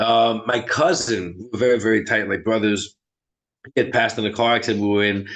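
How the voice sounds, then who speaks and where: A man speaks with a strong New York accent. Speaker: medium. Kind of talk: interview chat.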